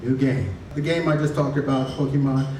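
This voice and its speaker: A man keeps a moderate pace as noticeable background noise fills the recording. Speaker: stand-up comedian. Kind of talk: stand-up comedy set.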